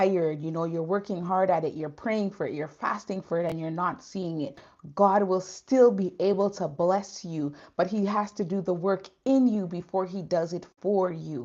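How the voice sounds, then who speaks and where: A woman's normal speaking voice at medium pitch and a moderate pace, with ordinary pitch variation over a quiet background. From Canada. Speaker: faith vlogger. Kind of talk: live stream chat. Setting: livestream. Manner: casual, conversational.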